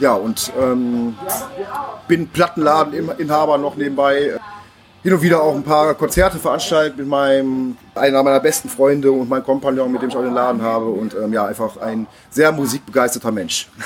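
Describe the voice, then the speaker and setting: A moderate pace and ordinary pitch variation, against noticeable background noise. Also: man, fairly high pitch for a man. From Neuss, Lower Rhine, Germany. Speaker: acoustic punk singer-songwriter and record shop owner. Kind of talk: casual interview. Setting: bar before a concert. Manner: hesitant, many fillers.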